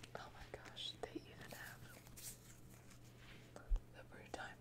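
Whispering and soft-spoken, a woman talks at a very slow pace over loud background noise. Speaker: tea product reviewer. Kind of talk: soft-spoken show-and-tell, ASMR-like. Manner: soft ASMR whisper, delighted. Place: home room.

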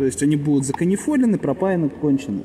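Noticeable background noise beneath speech with lively intonation. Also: man. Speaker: car repair mechanic. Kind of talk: repair tutorial. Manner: casual, thinking aloud.

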